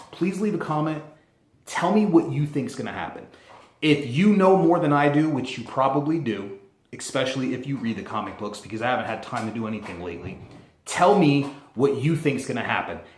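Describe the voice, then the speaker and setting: A man's fairly high, animated voice at a fairly quick pace, with very wide pitch swings and audible room echo. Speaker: YouTuber. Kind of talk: casual vlog commentary. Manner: fast.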